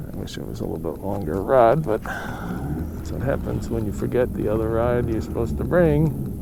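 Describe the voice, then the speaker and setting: A man with a very deep, low voice talks at a moderate pace with hardly any pauses and very wide pitch swings, over noticeable background noise and audible room echo. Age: old. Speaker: fishing vlogger. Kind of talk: casual solo fishing commentary. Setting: outdoors on a lake.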